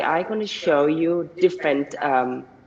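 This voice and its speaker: There is noticeable background noise behind a man. His pitch is high, with ordinary pitch variation. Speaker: senior researcher. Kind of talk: conference talk. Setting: video call. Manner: halting.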